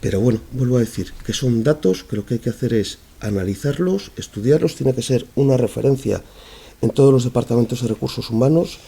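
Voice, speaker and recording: At a fairly quick pace, a man with a dark, mellow tone and a somewhat breathy voice speaks with ordinary pitch variation. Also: medium pitch for a man. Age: 40s. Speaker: human resources manager. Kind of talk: panel talk with Q&A. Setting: conference event, being recorded.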